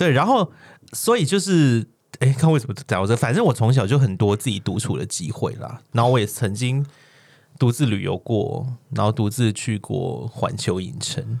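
A man speaks at a moderate pace with medium pitch and vocal fry. His intonation is lively. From Hong Kong. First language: Cantonese (speaking Chinese). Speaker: podcast co-host. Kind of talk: casual chat.

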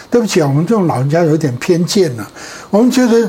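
A man's high pitch and lively intonation against noticeable background noise. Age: 70s. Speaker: pastor. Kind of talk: interview. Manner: halting.

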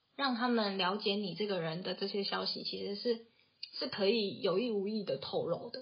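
Speaking in a Taiwanese accent, a woman keeps a medium pitch and ordinary pitch variation at a moderate pace. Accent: Taiwanese Mandarin. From Taiwan, Taoyuan. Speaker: podcast co-host, tech company office worker. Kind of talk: casual chat.

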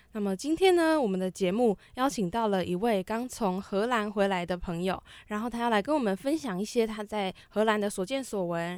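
At a fairly quick pace, a woman with a fairly high pitch speaks with ordinary pitch variation. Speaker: campus radio host. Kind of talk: radio talk show. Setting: radio studio. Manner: stumbling over words.

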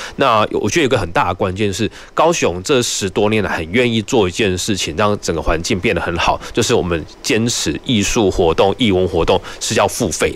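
A man's plain, everyday voice, fairly low in pitch, at a moderate pace. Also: ordinary pitch variation, hardly any pauses. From Taiwan, Nantou. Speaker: city cultural affairs official. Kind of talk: radio interview. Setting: radio studio, live broadcast.

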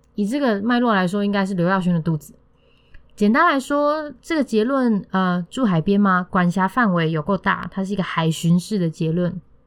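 Intonation is lively and the pace moderate. The recording is very clean, with a silent background. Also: woman, medium pitch for a woman. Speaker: podcast host and theatre critic. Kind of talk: scripted theatre review. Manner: formal, bookish wording.

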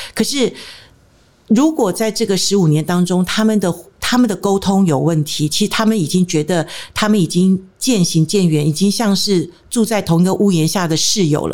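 Here is a plain, everyday voice from a woman at a medium pitch. Her loudness is very even, with ordinary pitch variation. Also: moderate pace. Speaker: marriage counselor. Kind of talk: interview.

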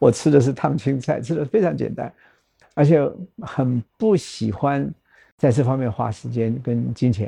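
A dark, mellow, somewhat breathy voice at a fairly slow pace, with a quiet background. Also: man, medium pitch for a man, ordinary pitch variation. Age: 70s. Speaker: nonprofit foundation chairman, former hotel executive. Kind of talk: interview conversation.

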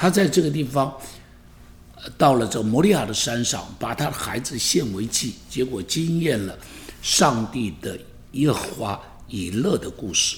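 With very wide pitch swings, a man speaks somewhat breathily at a fairly slow pace, leaving long, frequent pauses. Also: medium pitch for a man. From Taiwan. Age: 70s. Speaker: pastor. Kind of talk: podcast monologue. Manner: animated.

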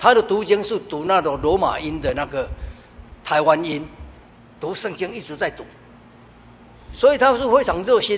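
The speaker moves at a moderate pace with lively intonation, big swings in loudness, and long, frequent pauses. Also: man, high pitch for a man. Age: 70s. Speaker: church deacon. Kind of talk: testimony.

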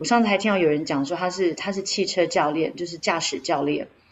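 A woman talks with ordinary pitch variation. Noticeable background noise runs underneath. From Taiwan. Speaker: podcast co-host. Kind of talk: casual chat.

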